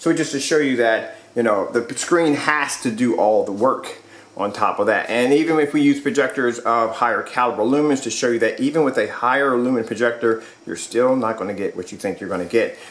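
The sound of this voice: A man at medium pitch and a fairly quick pace, with ordinary pitch variation and audible room echo. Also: few pauses.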